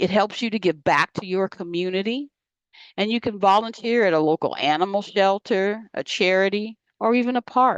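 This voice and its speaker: In a normal speaking voice of medium pitch, a woman talks at a moderate pace with ordinary pitch variation, the sound dry and close with no echo against a quiet background. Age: 60s. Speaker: health educator. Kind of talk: lecture.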